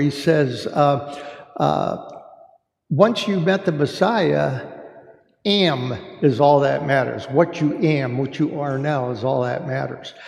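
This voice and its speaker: Speaking very slowly, a man with a fairly high pitch is heard with audible room echo. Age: 70s. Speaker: church discussion group leader. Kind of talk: faith discussion talk. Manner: halting, many fillers.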